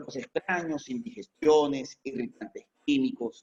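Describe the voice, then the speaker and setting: Here a man with a plain, everyday voice speaks at a fairly high pitch. His pace is fairly slow and his intonation lively. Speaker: veterinarian lecturer. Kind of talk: lecture. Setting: online video conference.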